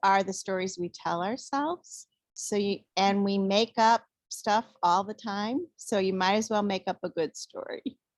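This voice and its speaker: A normal speaking voice at a fairly slow pace. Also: woman, dry, close sound with no echo. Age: 60s. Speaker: physician assistant. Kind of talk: interview.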